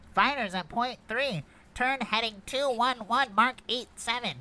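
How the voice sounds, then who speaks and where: A put-on character voice comes through at a fairly high pitch and a fairly slow pace. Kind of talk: table read of a script.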